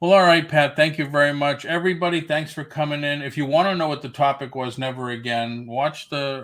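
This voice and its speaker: A man's normal speaking voice at a fairly quick pace, with fairly even intonation and hardly any pauses. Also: fairly high pitch for a man. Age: 60s. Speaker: YouTube reseller channel host. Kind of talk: casual chat.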